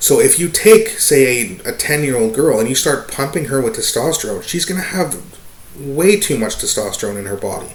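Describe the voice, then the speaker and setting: Amid noticeable background noise and audible room echo, a man talks at a moderate pace in a fairly high voice with very wide pitch swings. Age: 30s. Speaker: vlogger giving opinion. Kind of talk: casual opinion monologue. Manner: halting, many fillers.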